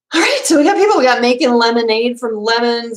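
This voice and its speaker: A woman with a Minnesota accent talks in an animated tone at a high pitch. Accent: Minnesota accent, long O's. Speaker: homesteading podcaster and YouTuber. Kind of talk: casual live stream chat. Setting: live stream on webcam. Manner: animated, chatty.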